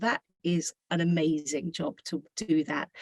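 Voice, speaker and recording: A woman speaks with a British accent. The sound is dry and close, with no echo. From Britain. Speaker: school administrator, service learning director. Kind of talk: presentation to parents.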